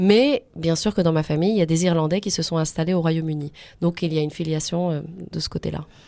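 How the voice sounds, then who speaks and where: Very fast and with fairly even intonation, a woman speaks in a fairly low pitch with a dark, mellow tone. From France. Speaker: history lecturer. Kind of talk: radio interview.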